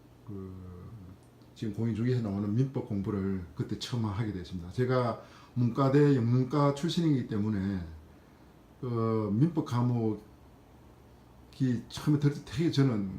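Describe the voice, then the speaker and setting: The voice moves at a moderate pace with long, frequent pauses, somewhat breathy and dark, mellow in tone, with ordinary pitch variation. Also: man, medium pitch for a man. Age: 50s. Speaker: civil servant sharing exam experience. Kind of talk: personal testimony vlog. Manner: hesitant with frequent fillers.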